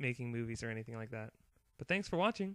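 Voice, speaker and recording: The recording is very clean, with total silence behind the voice. A man talks in a dry, close sound without any echo. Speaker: student presenter. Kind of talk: class presentation narration.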